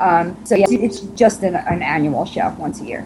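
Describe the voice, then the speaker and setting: With a New York accent, a woman speaks at a fairly slow pace and a medium pitch. Her intonation is lively, and background noise is noticeable. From Long Island, New York. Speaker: podcast interview guest, rock band drummer. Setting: audio chat interview.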